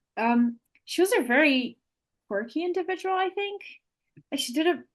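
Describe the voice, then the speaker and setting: A woman speaks at a moderate pace with an extremely high pitch. Her pitch swings very widely. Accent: non-native. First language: not English. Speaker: Montessori educator. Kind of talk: podcast interview. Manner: halting.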